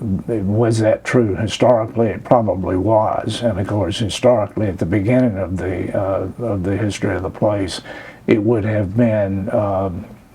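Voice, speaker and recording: Over noticeable background noise, a man with an Alabama accent speaks at a fairly low pitch and a moderate pace, keeping his intonation fairly even. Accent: Alabama Southern US. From US South, rural Chambers County, Alabama. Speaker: oral history interviewee. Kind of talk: oral history interview. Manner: hesitant, many filler words.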